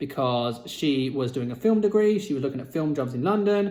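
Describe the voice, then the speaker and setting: A man with a British accent speaks at a moderate pace in a fairly high pitch, his dark, mellow tone carried by lively intonation. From Britain. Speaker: vlogger. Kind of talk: personal storytelling vlog. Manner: casual, conversational with fillers.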